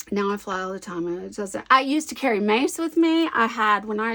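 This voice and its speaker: The speaker is a woman. She talks with an American accent. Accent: Southern US, toned down. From US South. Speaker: scrapbooking crafter. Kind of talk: casual crafting chat. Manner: chatty, thinking aloud.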